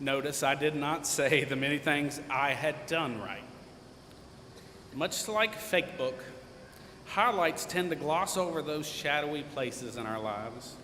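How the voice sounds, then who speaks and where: A man talks at a fairly slow pace with lively intonation and long, frequent pauses. Noticeable background noise and audible room echo fill the recording. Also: fairly high pitch for a man. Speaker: commencement speaker, alumnus. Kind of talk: commencement speech. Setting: stage with audience. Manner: loud; light-hearted, informal.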